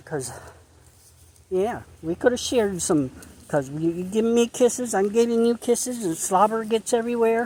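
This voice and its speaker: With an American accent, the speaker keeps a moderate pace, and the recording is very clean with a silent background. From central Pennsylvania, Perry County. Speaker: dog walking vlogger. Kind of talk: casual walking vlog. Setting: outdoors on hiking trail. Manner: halting, repetitive.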